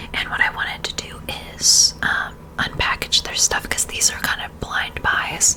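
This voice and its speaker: Someone is whispering. Background noise is noticeable throughout. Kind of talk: ASMR perfume review, casual talk to camera. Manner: soft, intimate, ASMR-style.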